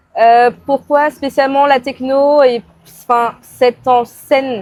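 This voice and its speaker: This is a woman speaking. Her pace is very slow. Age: 20s. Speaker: photographer. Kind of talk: casual interview. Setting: podcast recording.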